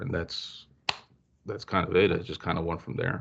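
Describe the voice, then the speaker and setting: A man speaks at a moderate pace in a quiet background. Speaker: metal band guitarist and vocalist. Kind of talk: casual interview. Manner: halting, many fillers.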